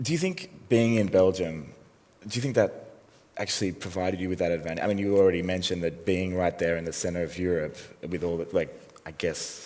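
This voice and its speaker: Over audible room echo, a man with an Australian accent and a very deep, low voice talks at a fairly quick pace with ordinary pitch variation. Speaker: interviewer. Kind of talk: onstage interview. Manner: mumbling.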